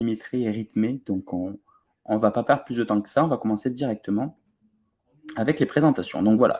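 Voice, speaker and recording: Speaking with a slight southern French accent, a man with a medium pitch and a dark, mellow tone moves at a fairly quick pace with ordinary pitch variation and long, frequent pauses. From southern France, Toulouse. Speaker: online ads trainer. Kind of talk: webinar presentation. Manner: hesitant, many filler sounds.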